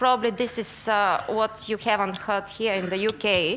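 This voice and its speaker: A woman speaks with a Bulgarian accent at a fairly slow pace. Her tone is bright and sharp. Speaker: investigative journalist. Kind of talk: conference talk. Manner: hesitant, many fillers.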